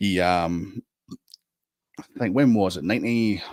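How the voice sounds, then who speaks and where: A man's very deep, low voice with a Scottish accent and ordinary pitch variation. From Scotland. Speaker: guest on a fan podcast. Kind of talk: casual chat. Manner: animated.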